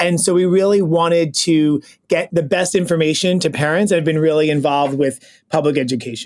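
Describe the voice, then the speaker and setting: An ordinary speaking voice: a man with an American accent and a fairly high pitch. He moves at a fairly quick pace, with fairly even intonation and very even loudness. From New York City (Brooklyn). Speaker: pediatric gastroenterologist, podcast co-host. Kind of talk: casual podcast introductions.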